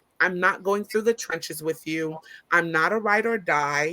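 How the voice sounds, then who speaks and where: A loud woman's voice, medium in pitch, with a bright, sharp tone. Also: very clean recording, silent background. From Brooklyn, Caribbean family. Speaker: business owner and college professor. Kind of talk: casual chat.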